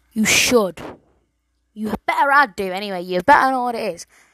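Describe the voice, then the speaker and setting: With an English accent, a woman speaks at a moderate pace with lively intonation and a fairly high pitch, in a dry, close sound with no echo. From England. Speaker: solo podcaster. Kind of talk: casual monologue. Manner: animated.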